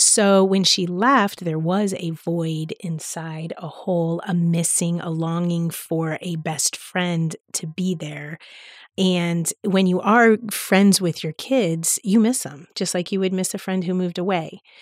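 Speaking very slowly with an American accent, a woman keeps a fairly low pitch and fairly even intonation, with hardly any pauses. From US, South Florida (Palm Beach County). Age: 50s. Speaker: teacher. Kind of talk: casual chat.

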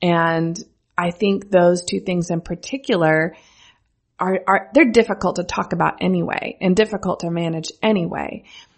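A woman with an American accent has a normal speaking voice and a fairly low pitch. She talks at a moderate pace with ordinary pitch variation. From US Midwest, rural central Missouri. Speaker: brand strategist and agency founder. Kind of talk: casual interview chat. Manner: laughs often.

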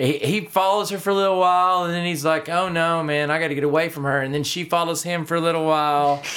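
A man with a Texas accent speaks at a high pitch in a bright, sharp tone, his intonation fairly even. He talks at a very fast pace with hardly any pauses. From North Texas (Denison area). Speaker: country musician and songwriter. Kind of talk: casual interview. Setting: on-location recording at a music venue.

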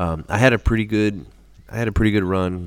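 Pitch variation is ordinary as a man talks at a fairly slow pace. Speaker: podcast host. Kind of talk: casual chat.

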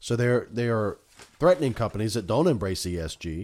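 At a fairly quick pace with ordinary pitch variation, a plain, everyday voice comes through on a very clean recording with a silent background. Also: man. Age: 40s. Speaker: podcast host and family doctor. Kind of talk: solo political commentary monologue. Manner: casual, with frequent fillers.

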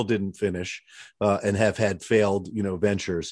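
A plain, everyday voice at a fairly quick pace, with fairly even intonation over a quiet background. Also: man. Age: 50s. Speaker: orthopedic surgeon and podcast host. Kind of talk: casual interview chat.

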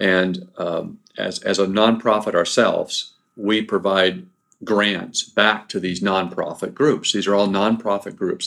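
On a very clean recording with a silent background, an unremarkable speaking voice keeps a moderate pace and fairly even intonation. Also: man. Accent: American. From Southern California. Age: 50s. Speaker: race director. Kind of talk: casual interview. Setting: office.

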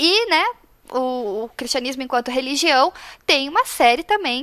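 A woman speaks with a high pitch and a bright, sharp tone. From Paraná, Brazil. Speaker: graphic designer, faith project organizer. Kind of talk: casual chat.

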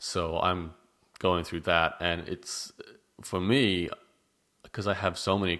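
A man with an Australian accent speaks in a very deep, low voice with monotone, flat intonation, recorded very cleanly against a silent background. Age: 30s. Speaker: blogger and podcast host. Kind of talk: casual chat.

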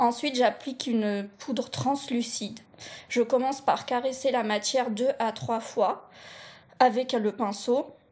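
A woman speaks at a high pitch and a very slow pace with fairly even intonation. The recording is very clean, with a silent background. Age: 30s. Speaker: blind makeup podcast co-host. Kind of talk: scripted makeup tutorial.

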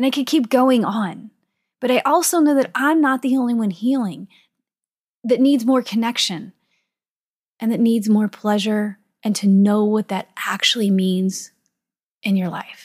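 A woman speaks at a fairly slow pace with a somewhat breathy, fairly high voice and ordinary pitch variation. Long pauses come often, and the recording is very clean with a silent background. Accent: American. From US Midwest, St. Louis, Missouri. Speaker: podcast host, sex and wellness coach. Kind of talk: solo podcast monologue.

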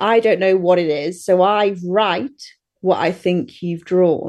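A woman speaks very slowly in an English Midlands accent. Her pitch is medium with ordinary variation. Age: 30s. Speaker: dog walker and groomer. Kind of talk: casual chat. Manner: giggly.

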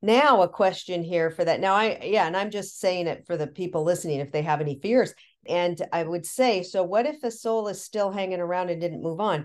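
A woman's normal speaking voice with an American accent, medium in pitch with ordinary pitch variation, fairly quick with hardly any pauses, over a quiet background. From US Pacific Northwest, Tacoma. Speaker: matchmaker. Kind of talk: casual chat.

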